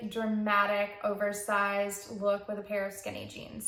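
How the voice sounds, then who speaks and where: A woman's voice, medium in pitch, carries audible room echo. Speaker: knitting podcaster. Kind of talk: casual chat.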